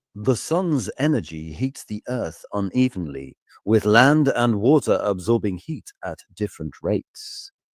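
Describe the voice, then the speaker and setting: A man puts on a robotic character voice at medium pitch, his pitch swinging very widely. He keeps a moderate pace with hardly any pauses, in a very clean, dry, close recording with a silent background and no echo. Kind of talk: educational voiceover. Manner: robotic narration.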